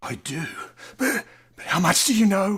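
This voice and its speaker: This put-on character voice is raspy, pitched in the middle range, and delivered at a moderate pace. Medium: stage play. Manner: excitable, intense.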